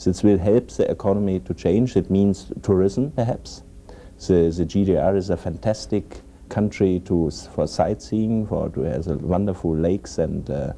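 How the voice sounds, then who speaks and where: A man with a German accent speaks at a moderate pace, his very deep, low pitch carrying lively intonation. Noticeable background noise is present. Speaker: economics specialist. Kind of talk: roundtable discussion. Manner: halting.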